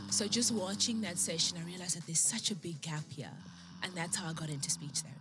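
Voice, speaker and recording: With a South African accent, a woman speaks at a very fast pace and a fairly low pitch. Her intonation is lively, and music plays in the background. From South Africa, Eastern Cape (East London). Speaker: beauty pageant winner, speech therapist. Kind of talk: TV interview.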